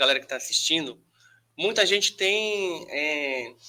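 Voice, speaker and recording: Speaking fairly slowly, a man uses a high pitch and a bright, sharp tone, with very wide pitch swings. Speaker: podcast host. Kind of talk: interview.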